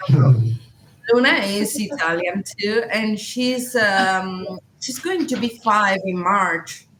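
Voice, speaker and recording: Over noticeable background noise, a woman with a Spanish accent speaks at a very slow pace and medium pitch with lively intonation. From Chile. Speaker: cat owner, adventure content creator. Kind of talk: podcast interview. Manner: halting, many fillers.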